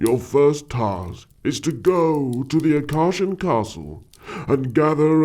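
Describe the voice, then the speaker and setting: Pitched fairly high, a man performs a put-on character voice. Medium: audio drama. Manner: formal, commanding.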